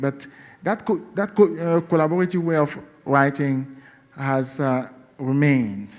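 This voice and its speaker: A man's medium-pitched voice with a Cameroonian accent. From western Cameroon. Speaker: novelist. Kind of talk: interview. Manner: halting, many fillers.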